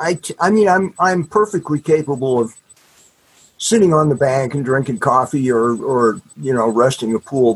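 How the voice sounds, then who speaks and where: The speaker is male. He talks at a fairly slow rate. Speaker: author. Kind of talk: casual interview chat. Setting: video call.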